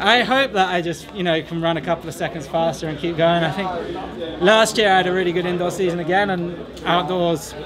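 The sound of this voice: A man with an American accent, high-pitched and fairly even in intonation, at a fairly quick pace over clear background noise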